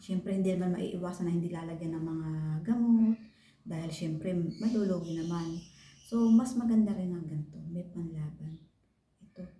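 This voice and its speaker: The voice has a dark, mellow tone, somewhat breathy, with fairly even intonation at a moderate pace. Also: woman. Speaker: vlogger. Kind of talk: tutorial. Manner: casual.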